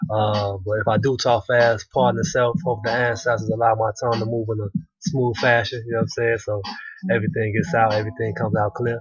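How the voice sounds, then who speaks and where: Fairly quick pace with fairly even intonation. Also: man. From Chicago South Side. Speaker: video blogger. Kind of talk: casual vlog response. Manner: fast; casual, many fillers. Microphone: cheap webcam mic, sitting close.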